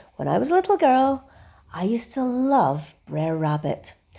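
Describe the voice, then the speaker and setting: A woman speaks at a fairly high pitch with a Scottish accent. Her pitch makes very wide swings. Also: very clean recording, silent background. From Scotland. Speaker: artist. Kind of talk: bedtime story reading. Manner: cheery.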